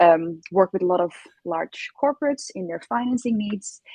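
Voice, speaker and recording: Dark and mellow, the somewhat breathy voice carries a Dutch accent and lively intonation. The sound is dry and close with no echo. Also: woman. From Netherlands. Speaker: innovation consultant. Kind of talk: interview. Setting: live stream.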